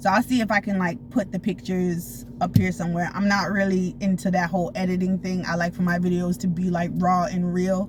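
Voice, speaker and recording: A woman's somewhat breathy voice at medium pitch, fairly quick with hardly any pauses, with ordinary pitch variation. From Florida. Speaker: storytime vlogger. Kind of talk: casual storytelling. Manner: fast; animated.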